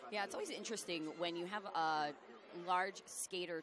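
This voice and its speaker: A woman with an American accent, fairly low in pitch, at a moderate pace and with fairly even intonation, amid audible room echo and crowd noise in the background. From US Midwest. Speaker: roller derby commentator. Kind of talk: live commentary. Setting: commentary booth at a live event.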